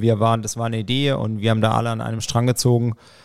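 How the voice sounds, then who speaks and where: A man with a medium pitch is heard on a very clean recording where the background is silent. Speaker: triathlon team manager. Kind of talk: casual chat. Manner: talkative.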